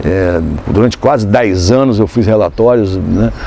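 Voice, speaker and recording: Man speaking at a moderate pace over noticeable background noise. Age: 60s. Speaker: photographer and journalist. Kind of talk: interview. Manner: halting, many fillers.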